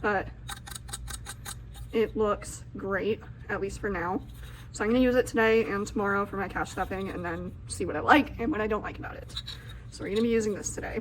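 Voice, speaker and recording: Speaking at a fairly quick pace but with long, frequent pauses, a woman is heard over noticeable background noise. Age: 20s. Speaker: budgeting content creator. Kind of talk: casual vlog tutorial. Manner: animated.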